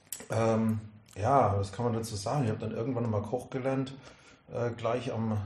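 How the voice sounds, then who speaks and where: Amid noticeable background noise and audible room echo, a man talks at a fairly quick pace with a medium pitch and monotone, flat intonation. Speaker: cigar sales expert. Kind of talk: casual chat.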